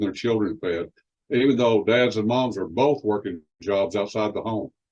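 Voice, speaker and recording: A Texas accent at a moderate pace. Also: man. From West Texas. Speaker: promotional presenter. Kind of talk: sales pitch.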